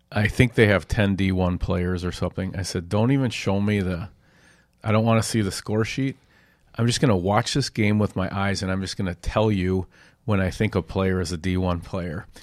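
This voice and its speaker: A man with an American accent uses a plain, everyday voice, fairly low in pitch, at a moderate pace. His intonation is fairly even, and the recording is very clean with a silent background. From Minnesota (Edina). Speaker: sports editor and podcast moderator. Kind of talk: casual chat.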